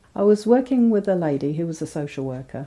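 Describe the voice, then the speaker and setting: The woman's voice carries a dark, mellow tone. She keeps to a moderate pace. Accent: English Midlands. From England, Northamptonshire. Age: 50s. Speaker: convert telling her story. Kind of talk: testimony.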